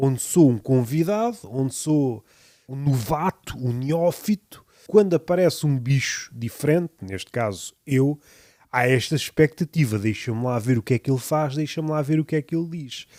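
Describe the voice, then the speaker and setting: A man's fairly high, dark and mellow voice with lively intonation at a moderate pace, dry and close with no echo, in a very clean recording over a silent background. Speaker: podcaster. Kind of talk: reflective monologue. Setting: home room surrounded by poetry books.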